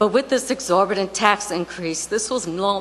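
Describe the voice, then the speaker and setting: A woman at medium pitch and a moderate pace, with ordinary pitch variation and noticeable background noise. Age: 60s. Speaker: retired resident speaking at public comment. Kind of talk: public comment at town council meeting. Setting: town council meeting.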